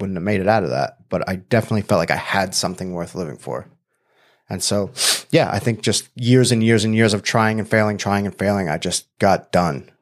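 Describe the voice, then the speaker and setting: A normal speaking voice with an American accent, moderate pace and ordinary pitch variation, on a very clean recording with a silent background. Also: man. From Long Island, New York. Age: 40s. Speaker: life coach and former MMA fighter. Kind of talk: casual interview.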